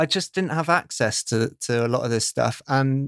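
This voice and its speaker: A man with a British accent at a medium pitch, fairly slow pace and ordinary pitch variation, in a very clean recording with a silent background and dry, close sound with no echo. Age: 30s. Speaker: podcast producer. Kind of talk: casual chat.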